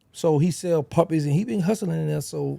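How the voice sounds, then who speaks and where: In an American accent, a man speaks with a somewhat breathy, dark and mellow tone. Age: 50s. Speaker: former rapper's associate and ex-inmate. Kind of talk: interview. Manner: animated.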